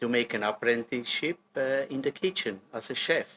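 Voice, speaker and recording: This is a man's voice at medium pitch. Its tone is bright and sharp. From German-speaking Switzerland, Solothurn. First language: Swiss German. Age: 60s. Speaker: hotel general manager. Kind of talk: interview. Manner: hesitant, with many fillers.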